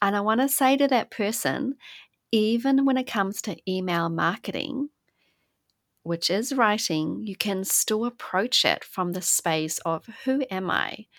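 On a very clean recording with a silent background and a dry, close sound with no echo, a woman with an unremarkable speaking voice talks fairly slowly at a fairly high pitch with lively intonation. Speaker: podcast host. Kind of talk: interview.

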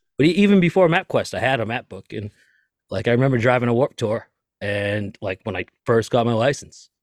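With a Boston accent, a man speaks fairly quickly at medium pitch with lively intonation, in a dry, close sound with no echo on a very clean recording with a silent background. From US Northeast, Lynn, Massachusetts (Boston area). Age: 30s. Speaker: tour manager and podcaster. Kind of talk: casual chat.

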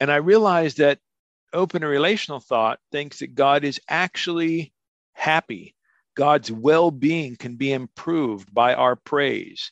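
Over a quiet background with a dry, close sound and no echo, a man with an American accent speaks at a fairly slow pace and a fairly high pitch with ordinary pitch variation. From US Northwest. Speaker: theology professor. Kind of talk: interview.

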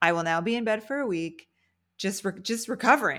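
In a very clean recording with a silent background, a woman with an American accent speaks at a moderate pace and medium pitch with lively intonation, in an unremarkable speaking voice. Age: 40s. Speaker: podcast host. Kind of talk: casual interview.

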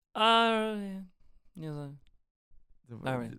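A woman mumbles in a put-on character voice. Her medium pitch swings very widely. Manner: mumbling.

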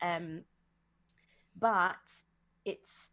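A woman speaks in an English accent. Her pitch is medium, with ordinary variation. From England. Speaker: psychologist and cult survivor. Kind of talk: interview. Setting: video call.

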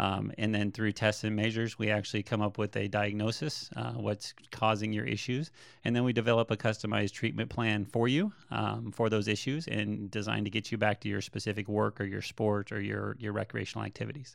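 The intonation stays fairly even, with vocal fry. There are hardly any pauses. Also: man, fairly low pitch for a man, fairly quick pace, quiet background. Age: 40s. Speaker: physical therapist. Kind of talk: interview. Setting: his clinic.

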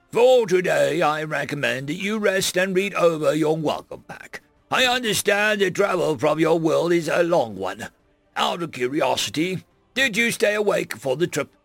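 Over faint music in the background, a man does a raspy, high-pitched put-on character voice at a moderate pace. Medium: read story. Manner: polite, cheerful.

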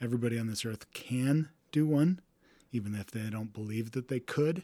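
A man's medium-pitched, dark and mellow voice with an American accent, moderate pace and ordinary pitch variation. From Texas. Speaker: race director and ultrarunner. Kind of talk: casual interview chat.

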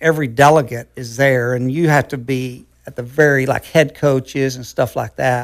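A man with an American accent at a medium pitch, with fairly even intonation and a moderate pace. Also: very clean recording, silent background. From Oklahoma. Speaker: former pole vaulter and track coach. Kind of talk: interview.

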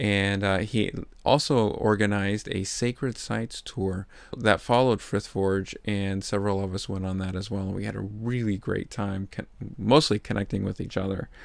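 A man speaks at a moderate pace with a fairly low pitch. He has a plain, everyday voice. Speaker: podcast host and interviewer. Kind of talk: casual interview. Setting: on-site interviews at conference.

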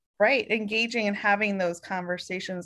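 A woman's unremarkable speaking voice, medium in pitch, at a moderate pace with an American accent, over a quiet background. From Oregon. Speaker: podcast co-host, HR professional. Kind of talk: casual chat.

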